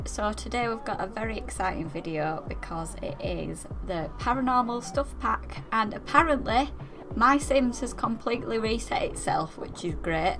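Music can be heard behind the speech. The woman's delivery moves at a moderate pace. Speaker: gaming YouTuber. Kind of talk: casual gameplay commentary.

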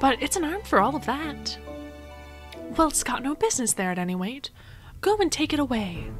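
Over clear music in the background, a woman with a high pitch speaks in a soothing, calm tone at a fairly quick pace, with very wide pitch swings and long, frequent pauses. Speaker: audiobook reader. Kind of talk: audiobook reading. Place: home room. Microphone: studio mic.

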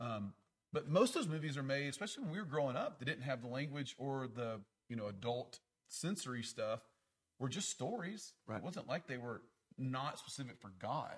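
The man's voice carries some breathiness. He keeps to a moderate pace. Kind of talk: discussion in a church class. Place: hall. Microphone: handheld.

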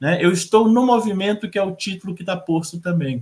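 A man speaks in a high-pitched voice over a quiet background. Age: 40s. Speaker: professor. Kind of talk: panel talk. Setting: video call. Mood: earnest, personal. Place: home room.

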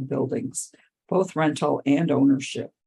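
At a moderate pace, a woman speaks with a dark, mellow tone, vocal fry and a very deep, low pitch. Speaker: accessibility consultant and podcast host. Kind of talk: podcast introduction and commentary.

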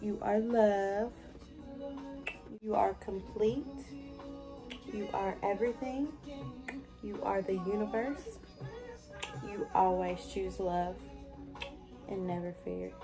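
A soft-spoken woman at a very slow pace, with long, frequent pauses and clear music in the background. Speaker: mother / content creator. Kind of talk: affirmations. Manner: soft, gentle. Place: home room. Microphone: phone near.

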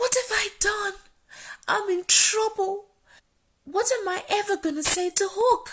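A cartoonish character voice that sounds female, pitched extremely high for a woman. It moves at a fairly slow pace with long, frequent pauses. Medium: puppet show. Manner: whiny, feigning illness, then panicked pleading.

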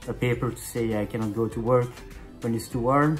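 With a French accent, a man talks at a moderate pace and medium pitch, his intonation fairly even, while faint music plays in the background. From Belgium. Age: 30s. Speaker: chef. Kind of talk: casual talk to camera. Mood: earnest, personal, somewhat tired. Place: home room. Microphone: phone near.

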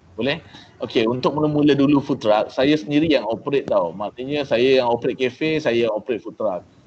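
With a Malaysian accent, a man talks at a very fast pace and a fairly high pitch, with ordinary pitch variation and light background noise. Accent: Malaysian Malay with English code-switching. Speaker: entrepreneur; guest. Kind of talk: talk to trainees. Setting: video call. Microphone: video call.

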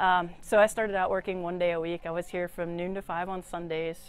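Here a woman speaks with an American accent. Her intonation is monotone and flat, and the sound is dry with no echo. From Austin, Texas. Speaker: record store owner. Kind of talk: interview. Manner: frequent fillers and repetitions. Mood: friendly, relaxed. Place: shop.

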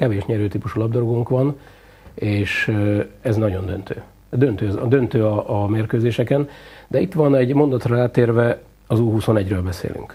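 Ordinary pitch variation in a somewhat breathy male voice of dark, mellow tone. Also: fairly slow pace. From Hungary. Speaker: football coach, former international player. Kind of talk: TV sports interview. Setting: TV studio. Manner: hesitant, many filler sounds. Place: studio. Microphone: lapel.

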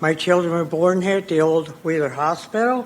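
With an American accent, a woman talks at a fairly low pitch and ordinary pitch variation over noticeable background noise. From Gilroy, California. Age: 70s. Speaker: public commenter. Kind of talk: public comment at council meeting. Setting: council chambers.

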